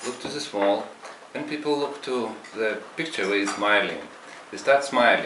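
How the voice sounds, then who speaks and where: A man with a Lithuanian accent is heard with audible room echo and noticeable background noise. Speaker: meditation practitioner, former juice bar owner. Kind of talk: testimony. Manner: halting.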